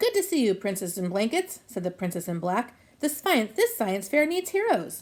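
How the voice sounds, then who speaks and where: A woman does a put-on character voice, fairly high in pitch, with very wide pitch swings. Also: moderate pace. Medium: read story.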